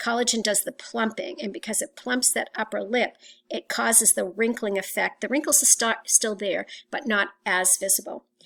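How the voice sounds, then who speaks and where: Her tone is bright and sharp, with vocal fry and a fairly high pitch. The woman keeps a moderate pace and ordinary pitch variation. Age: 60s. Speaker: teacher. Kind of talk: lecture. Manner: halting.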